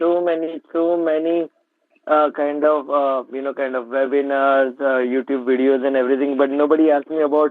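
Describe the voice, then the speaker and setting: A man with a Gujarati accent speaks at a fairly high pitch in a monotone, flat intonation. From India, Mumbai. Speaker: trader. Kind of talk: interview.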